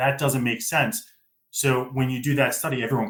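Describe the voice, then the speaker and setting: A man with an American accent, a normal speaking voice, medium pitch and a fairly quick pace. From US. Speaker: data literacy expert. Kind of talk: podcast interview.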